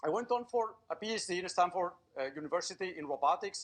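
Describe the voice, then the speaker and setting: Fairly quick man with a Spanish accent, high pitch and lively intonation. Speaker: robotics professor. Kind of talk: public lecture.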